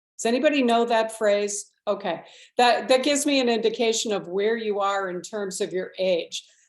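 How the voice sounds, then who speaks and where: Here a woman speaks at a moderate pace with ordinary pitch variation. Hers is a plain, everyday voice, fairly high in pitch. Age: 60s. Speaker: state legislator. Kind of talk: panel forum presentation.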